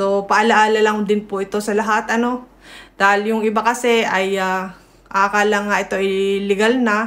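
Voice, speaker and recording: Moving at a moderate pace, a woman speaks with fairly high pitch. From Philippines, provincial. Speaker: news vlogger. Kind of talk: casual news commentary. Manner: loud. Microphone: no microphone.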